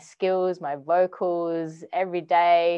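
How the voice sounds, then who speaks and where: A woman speaks with an Australian accent. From Western Australia. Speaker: music producer and artist. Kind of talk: casual interview.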